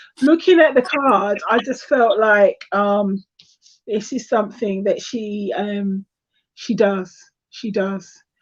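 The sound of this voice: A woman's slow delivery at a medium pitch, with ordinary pitch variation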